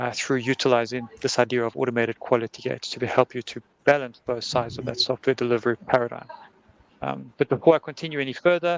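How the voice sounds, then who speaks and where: With a South African accent, the speech runs at a very fast pace in a dry, close sound with no echo. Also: man. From South Africa, Cape Town. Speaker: conference speaker, head of engineering. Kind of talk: conference talk.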